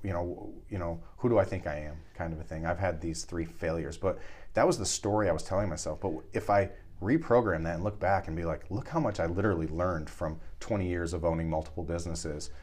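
A man talks at a very fast pace with a very deep, low pitch. His voice is somewhat breathy. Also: ordinary pitch variation. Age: 40s. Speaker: podcast host. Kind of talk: casual chat.

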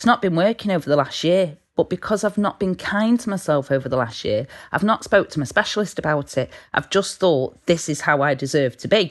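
Lively intonation marks this woman's British accent. She talks at a fairly quick pace. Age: 30s. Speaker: peer support volunteer. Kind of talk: casual chat.

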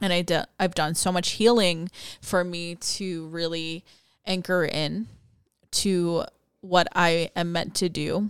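The speech comes at a very slow pace with fairly even intonation, in a very clean recording with a silent background. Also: woman. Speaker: spiritual podcast host and coach. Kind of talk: casual solo monologue.

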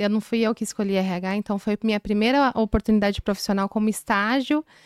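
In a very clean recording with a silent background and a dry, close sound with no echo, a woman talks at a moderate pace in a fairly high voice with fairly even intonation. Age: 30s. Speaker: HR consultant. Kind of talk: interview.

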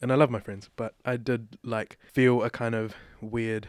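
Against a silent background on a very clean recording, a man speaks with a New Zealand accent. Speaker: playwright and director. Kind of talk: interview conversation.

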